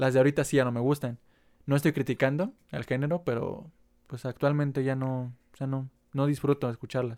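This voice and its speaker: Someone with a Mexican accent speaks at a fairly quick pace and with fairly even intonation in a dry, close sound with no echo. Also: man, medium pitch for a man. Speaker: podcast co-host. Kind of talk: casual chat. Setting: at home.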